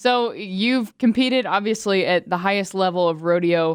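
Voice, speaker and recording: A woman speaks in a plain, everyday voice at a medium pitch with ordinary pitch variation, in a very clean recording with a silent background. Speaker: podcast host. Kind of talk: podcast interview questions.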